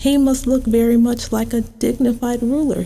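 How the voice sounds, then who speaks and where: With light background noise, a female-sounding, high-pitched put-on character voice speaks at a moderate pace. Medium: read story. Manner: scornful, weary, condescending.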